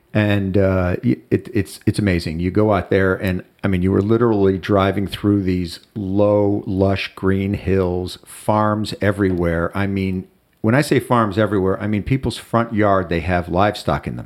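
A man with an American accent and a normal speaking voice talks at a moderate pace with hardly any pauses. His pitch is fairly low and his intonation fairly even, on a very clean recording with a silent background. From US Midwest, Chicago. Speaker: friend of the host. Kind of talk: casual chat.

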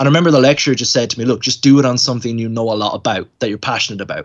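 A man with an Irish accent talks at a very fast pace. He hardly pauses at all. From Ireland. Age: 20s. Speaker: college student and video editor. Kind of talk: casual chat.

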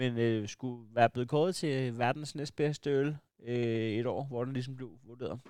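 The speaker is a man whose pitch sits in the medium range. He keeps his intonation fairly even. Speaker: podcast host. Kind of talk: casual banter. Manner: rambling, halting, joking.

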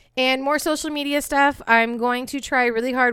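A woman with a high pitch and a bright, sharp tone speaks at a moderate pace. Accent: American. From California, Bay Area. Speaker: true crime podcast host. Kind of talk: storytelling; casual chat. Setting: at home.

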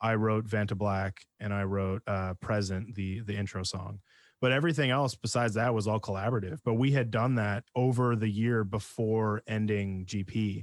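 A man with a Canadian accent and an unremarkable speaking voice, fairly low in pitch, fairly even in intonation, at a moderate pace with hardly any pauses, dry and close with no echo on a very clean recording with a silent background. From Canada, interior British Columbia. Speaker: metal band vocalist and bassist. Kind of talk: casual interview chat.

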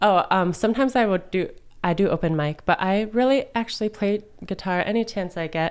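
A woman with a plain, everyday voice speaks at medium pitch. Her pace is fairly quick, with ordinary pitch variation. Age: 20s. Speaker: resale store owner and musician. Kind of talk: casual interview chat. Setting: studio.

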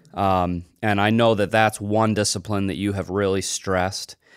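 A man with an unremarkable speaking voice talks at a fairly slow pace, his pitch fairly low. The recording is very clean, with a silent background. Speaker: podcast host. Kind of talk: religious podcast interview. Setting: studio.

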